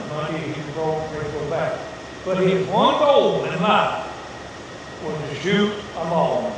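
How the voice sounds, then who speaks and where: At a very slow pace, a man speaks with a fairly high pitch and ordinary pitch variation. His long, frequent pauses sit over noticeable background noise. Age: 80s+. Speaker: trapper. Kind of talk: storytelling talk to an audience.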